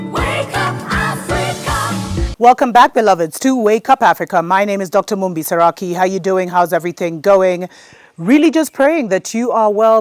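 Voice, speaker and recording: With an American accent, a woman speaks in a plain, everyday voice at medium pitch and a moderate pace, her intonation lively. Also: dry, close sound with no echo. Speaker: spiritual show host. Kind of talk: show intro.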